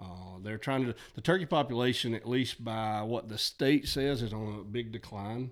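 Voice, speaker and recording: In an Alabama accent, a man speaks at medium pitch and a moderate pace with ordinary pitch variation and hardly any pauses, on a very clean recording with a silent background. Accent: Southern US (Alabama). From US South, north Alabama. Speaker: high school teacher and coach, turkey hunter. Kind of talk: casual chat.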